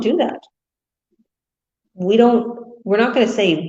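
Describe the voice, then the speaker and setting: A woman speaks with audible room echo. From India. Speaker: online business coach. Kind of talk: motivational talk. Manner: fast.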